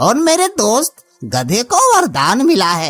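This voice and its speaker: Faint music plays behind a cartoonish character voice that is fairly high in pitch and moves at a fairly slow pace. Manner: calm, reassuring.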